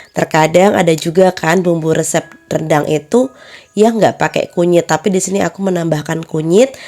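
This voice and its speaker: A woman speaks at a moderate pace in a fairly low pitch, with ordinary pitch variation. Noticeable background noise runs underneath. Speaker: home cook and catering vlogger. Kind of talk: cooking tutorial voiceover. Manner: slightly breathless.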